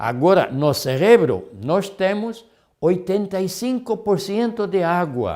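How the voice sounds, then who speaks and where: In a very clean recording with a silent background, a man with a high voice talks at a very slow pace with lively intonation. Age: 70s. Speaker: health lecturer. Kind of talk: lecture. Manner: halting, many fillers.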